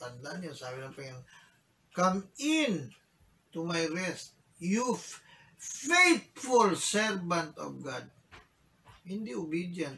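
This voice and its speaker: A man's high-pitched voice in a Filipino accent, very slow in pace, with very wide pitch swings, big swings in loudness and long, frequent pauses. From Philippines. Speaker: bishop and preacher. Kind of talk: sermon in Taglish; rousing sermon, rhetorical questions to congregation. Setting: church. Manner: emphatic, repeating phrases for emphasis; urgent, exhorting, pleading. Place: office.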